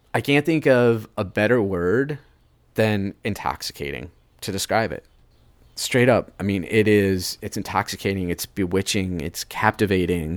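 Here is a plain, everyday voice: a man with an American accent, fairly low-pitched, using lively intonation. The recording is very clean and dry, close with no echo and a silent background. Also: moderate pace. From US Midwest, Cleveland. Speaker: chef. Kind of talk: interview.

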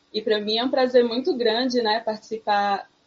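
A woman with a fairly high pitch speaks with fairly even intonation in a plain, everyday voice. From sertão of Pernambuco, Brazil. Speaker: psychologist. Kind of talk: casual chat.

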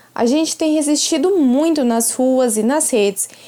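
Her voice is high-pitched with a dark, mellow tone, and the woman speaks at a fairly slow pace. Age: 20s. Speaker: activist and political candidate. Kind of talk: prepared statement. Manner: formal.

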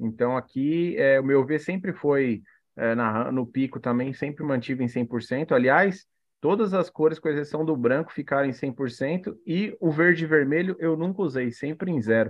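Speaking fairly slowly, a man with a Brazilian accent uses a fairly high voice with ordinary pitch variation. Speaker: aquarium hobbyist, co-host. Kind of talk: casual chat, live stream.

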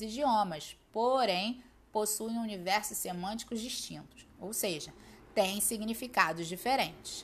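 With a Brazilian accent, a woman speaks at a medium pitch. Her intonation is lively. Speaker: Spanish teacher. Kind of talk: educational podcast lesson. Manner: clear, didactic.

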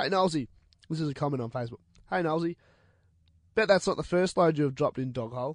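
A man with an Australian accent talks at a very fast pace, broken by long, frequent pauses. His pitch is fairly high, with ordinary pitch variation. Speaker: radio host. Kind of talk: casual chat. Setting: studio.

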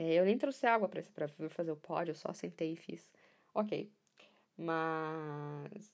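Ordinary pitch variation in the fairly low voice of a woman. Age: 20s. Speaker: podcaster. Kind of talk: casual monologue.

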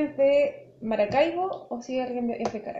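With noticeable noise behind her, a woman talks with lively intonation. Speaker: podcast co-host. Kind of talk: casual chat.

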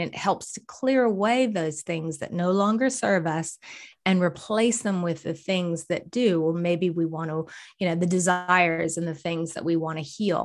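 With a plain, everyday voice, a woman speaks at a fairly low pitch and moderate pace with ordinary pitch variation on a very clean recording with a silent background. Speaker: holistic coach and healing practitioner. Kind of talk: casual interview chat.

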